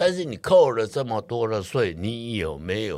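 A man talks with lively intonation. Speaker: real estate investor. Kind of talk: interview.

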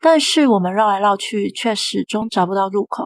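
A woman talks in an ordinary speaking voice at a fairly quick pace. Her pitch is fairly high, with ordinary pitch variation. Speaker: horror story narrator. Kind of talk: scripted horror story narration, first-person tale read aloud. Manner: storytelling, calm and suspenseful with a playful sing-song ending particle.

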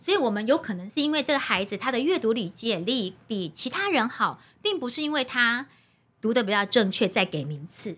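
The voice has a bright, sharp tone and a Taiwanese accent. It moves at a fairly quick pace with very wide pitch swings. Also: woman, fairly high pitch for a woman. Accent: Taiwanese Mandarin. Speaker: primary school teacher and recitation coach. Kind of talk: casual interview chat. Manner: steady, even delivery.

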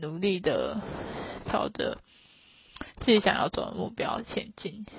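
A woman speaks at a fairly slow pace. Her delivery is unhurried throughout. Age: 20s. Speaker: solo podcast host. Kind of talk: casual monologue.

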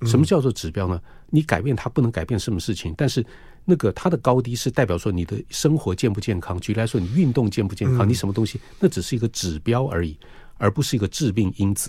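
A man of medium pitch speaks very fast with lively intonation in a dark, mellow, somewhat breathy tone. The recording is very clean, with a silent background. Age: 60s. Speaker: cardiologist. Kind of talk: radio interview. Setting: studio.

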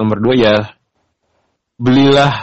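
The delivery is monotone and flat, spoken at a very slow pace. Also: man. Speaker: podcast co-host. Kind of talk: casual chat.

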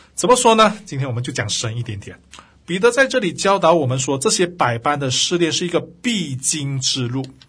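Using very wide pitch swings, a man speaks at a moderate pace in a fairly high pitch. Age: 40s. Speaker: Bible teacher and podcast host. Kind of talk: devotional Bible teaching. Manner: many filler sounds, hesitant.

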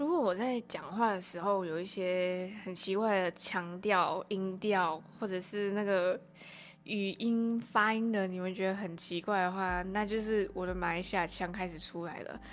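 A woman speaks in a medium pitch at a fairly slow pace. Her intonation is fairly even. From Malaysia. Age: 20s. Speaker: podcast host. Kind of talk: solo casual monologue. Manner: chatty, with fillers and hesitations.

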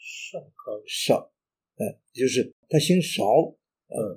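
A man speaks at a high pitch. His pace is very slow. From Henan, northern China. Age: 80s+. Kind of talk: interview reminiscence. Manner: halting, many fillers.

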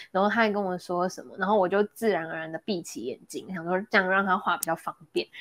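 A woman races along at a very fast pace with hardly any pauses, her medium pitch showing ordinary pitch variation and big swings in loudness, in a dry, close sound with no echo. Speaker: podcast co-host. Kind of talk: casual chat. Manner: animated.

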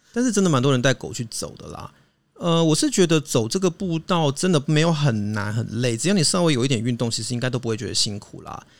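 Speaking very fast, a man talks in a fairly high pitch. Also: big swings in loudness. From Taiwan, Hakka background. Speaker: podcast co-host. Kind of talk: casual chat.

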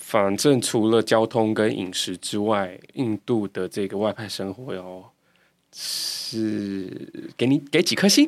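Ordinary pitch variation comes through at a very slow pace on a very clean recording with a silent background. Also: man, fairly low pitch for a man. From Taiwan, Kaohsiung. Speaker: podcast host. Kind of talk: casual interview chat; scripted intro.

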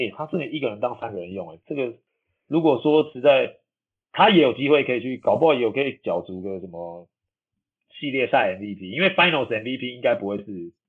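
Pitched in a medium range, a man's voice makes very wide pitch swings and big swings in loudness. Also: fairly quick pace. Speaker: professional basketball player and podcast host. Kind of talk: casual chat. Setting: remote recording from a hotel room.

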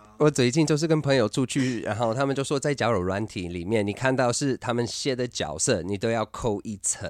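The speech runs at a fairly quick pace with hardly any pauses and ordinary pitch variation, on a very clean recording with a silent background. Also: man, medium pitch for a man. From US, Utah. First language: English (speaking Chinese). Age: 30s. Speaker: LGBT activist and entertainer. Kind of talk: casual interview. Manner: halting, with frequent filler words.

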